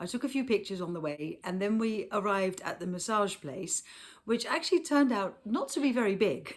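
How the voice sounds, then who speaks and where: Over a silent background in a very clean recording, a woman with a slight Dutch accent speaks at a fairly quick pace and medium pitch with lively intonation. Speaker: car seat retailer and vlogger. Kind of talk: travel vlog narration. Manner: casual, with fillers.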